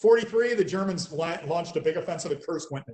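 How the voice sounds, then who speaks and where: A man with an American accent talks very fast with lively intonation. His voice is somewhat breathy. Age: 60s. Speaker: military historian. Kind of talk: interview.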